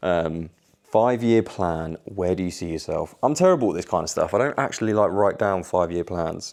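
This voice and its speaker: With a British accent, a man speaks at a fairly quick pace in a very deep, low pitch with ordinary pitch variation. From Tenerife and England. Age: 20s. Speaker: vlogger and fitness coach. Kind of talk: casual vlog Q&A.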